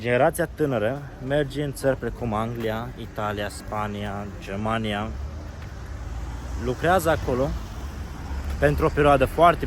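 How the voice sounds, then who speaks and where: A man with a Moldavian accent over noticeable background noise. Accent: Moldavian Romanian. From Romania, Moldavia region. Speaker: travel vlogger. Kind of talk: casual vlog monologue. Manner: casual, conversational.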